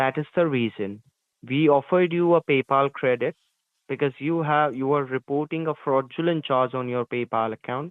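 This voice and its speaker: A man with an unremarkable speaking voice, pitched fairly high. He talks at a moderate pace with ordinary pitch variation. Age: 20s. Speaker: phone scammer. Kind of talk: scripted phone support pitch. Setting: phone call. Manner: formal.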